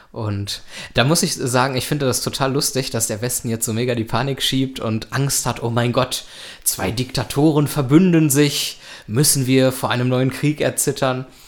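Noticeable background noise runs under this man's voice. He talks at a moderate pace with a medium pitch and fairly even intonation. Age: 20s. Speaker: podcast host. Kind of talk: casual chat.

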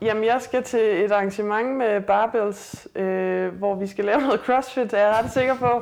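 This woman's voice is fairly high and her intonation fairly even, and she speaks at a fairly slow pace amid noticeable background noise. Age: 30s. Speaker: weightlifter and police officer. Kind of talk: casual interview. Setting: host's apartment.

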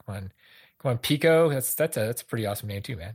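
The recording is very clean, with a silent background. A man speaks with lively intonation and a somewhat breathy voice. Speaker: soccer podcast co-host and interviewer. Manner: halting, repeats words.

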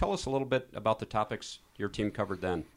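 On a very clean recording with a silent background, the speaker has a plain, everyday voice. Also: man. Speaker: podcast host. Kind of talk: casual interview.

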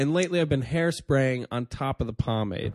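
In an ordinary speaking voice, a man talks at a fairly quick pace and medium pitch, the sound dry and close with no echo. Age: 30s. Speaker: comedian and podcast host. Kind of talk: casual chat. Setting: studio.

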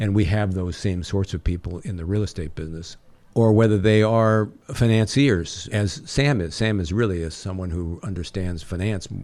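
With an American accent, a man talks at a moderate pace in a fairly low pitch with ordinary pitch variation. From US West Coast, San Francisco Bay Area. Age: 60s. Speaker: real estate developer and company chairman. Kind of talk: interview. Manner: articulate.

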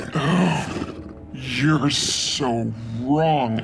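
Over clear background noise, a man puts on a character voice at a medium pitch. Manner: menacing, cruel, gloating.

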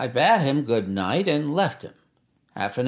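In a natural voice, someone reads aloud with little sound in the background.

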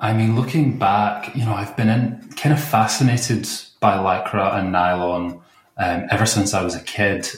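This man has a Scottish accent and a medium pitch. He talks at a fairly slow pace, somewhat breathy, with lively intonation. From Glasgow, Scotland. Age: 30s. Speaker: computer programmer guest. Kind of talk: casual interview.

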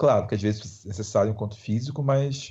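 Speaking at a moderate pace, a man sounds somewhat breathy. His pitch varies in an ordinary way. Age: 30s. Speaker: screenwriter. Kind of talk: interview.

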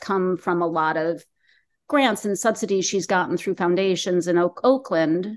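A woman's medium-pitched, unremarkable speaking voice at a moderate pace, with ordinary pitch variation over a quiet background. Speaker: documentary filmmaker. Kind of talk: casual interview.

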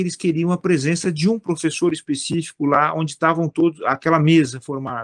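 In an ordinary speaking voice, a man talks at a fairly quick pace with a fairly high pitch. The sound is dry and close, with no echo. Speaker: philosopher and judge. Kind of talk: interview conversation. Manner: repetitive fillers and false starts.

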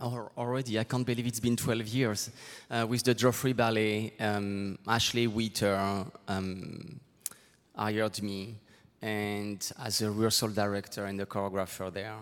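Speaking with a French accent, a man keeps a fairly low pitch, fairly even intonation and a fairly slow pace. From southwest France. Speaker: choreographer. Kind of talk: onstage interview. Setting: stage with audience. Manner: halting.

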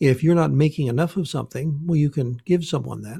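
Somewhat breathy and dark, mellow in tone, a man speaks fairly quickly at a fairly high pitch with lively intonation. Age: 60s. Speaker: naturopath. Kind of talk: interview, explanatory talk.

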